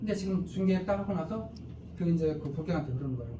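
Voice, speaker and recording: A man talks at a fairly quick pace in a high voice with ordinary pitch variation. Audible room echo and noticeable background noise surround him. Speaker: company CEO presenting business. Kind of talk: sales seminar presentation. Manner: fast.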